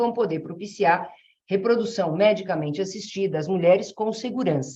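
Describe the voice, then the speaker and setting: Audible room echo around a woman's medium-pitched voice, moderately paced, with ordinary pitch variation. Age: 60s. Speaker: family law jurist, association president. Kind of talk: webinar talk. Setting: online webinar. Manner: halting, with many fillers.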